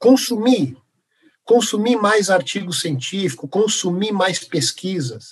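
A man's high-pitched voice at a very slow pace, with lively intonation. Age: 50s. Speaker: professor of physical education and health science. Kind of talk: interview.

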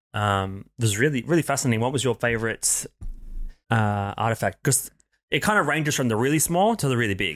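A man with an Australian accent at medium pitch, fairly quick and lively in intonation, very even in loudness, in a very clean recording with a silent background. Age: 30s. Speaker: podcast co-host. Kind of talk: casual chat.

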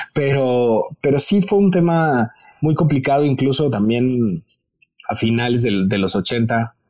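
With a Mexican accent, a man speaks at a fairly slow pace in a medium pitch, his intonation lively and his loudness very even. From Mexico. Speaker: TV presenter and fashion educator. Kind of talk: interview.

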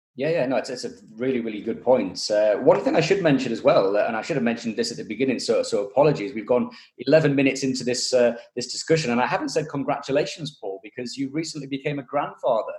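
A man talks at a very fast pace in a fairly high pitch. His intonation is lively. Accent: British. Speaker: motorsport podcast host. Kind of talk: casual interview. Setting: video call.

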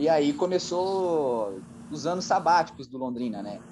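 A man speaks at a medium pitch. There is audible room echo. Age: 30s. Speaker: radio sports journalist. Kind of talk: casual interview about football history. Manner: halting, many fillers.

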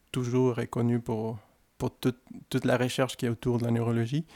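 A man with a Spanish accent has a dark, mellow tone. The sound is dry and close, with no echo. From Mexico, Guadalajara. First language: Spanish (speaking French). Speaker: care worker and former doctor. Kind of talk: interview. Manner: hesitant, with fillers.

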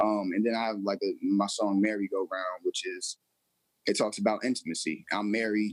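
A man speaks at a moderate pace, with a dry, close sound and no echo. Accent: American. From New York. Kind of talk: radio interview.

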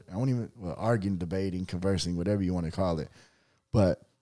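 The man's voice is very deep and low, with a dark, mellow tone. The recording is very clean, with a silent background. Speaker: podcast host. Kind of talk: casual sports debate.

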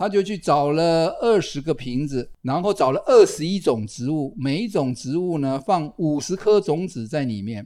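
A man talks at a moderate pace in a dark, mellow tone with lively intonation. The recording is very clean, with a silent background. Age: 60s. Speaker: retired biology professor, podcast host. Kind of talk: casual chat.

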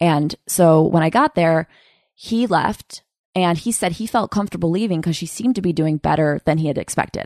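A woman with an American accent and an unremarkable speaking voice, fairly low in pitch with ordinary pitch variation, at a moderate pace, in a dry, close recording with no echo and a quiet background. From Upstate New York (Utica area). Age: 30s. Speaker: comedian and podcast host. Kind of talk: casual interview chat.

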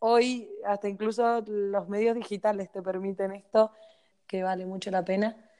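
Against a quiet background, a woman with a fairly high voice speaks fairly slowly in a flat monotone. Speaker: podcast co-host. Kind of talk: casual chat.

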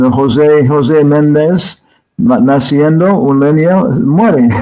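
Music plays in the background as a man with a fairly high voice speaks at a very slow pace. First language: English (speaking Spanish). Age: 70s. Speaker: spiritual teacher and scholar. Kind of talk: interview. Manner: halting.

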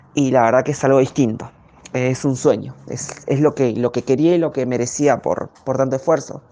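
Through noticeable background noise, a woman talks at a very deep, low pitch. She keeps a moderate pace and fairly even intonation. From Argentina, Greater Buenos Aires (González Catán area). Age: 20s. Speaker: professional footballer. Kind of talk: interview answers, personal testimony. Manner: halting, many fillers.

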